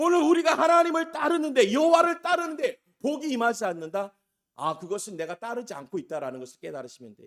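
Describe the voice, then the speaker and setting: Very fast and extremely high for a man, this male voice swings widely in pitch and shows big swings in loudness. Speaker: pastor. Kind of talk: sermon. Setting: small church. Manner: emphatic preaching.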